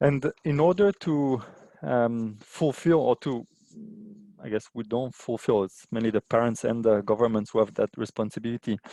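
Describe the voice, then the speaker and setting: In a non-native accent, the speaker has a dark, mellow tone and ordinary pitch variation, recorded with a dry, close sound with no echo and a quiet background. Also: man, medium pitch for a man, moderate pace. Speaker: aid organisation water and sanitation specialist. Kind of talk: webinar presentation. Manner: halting, many fillers.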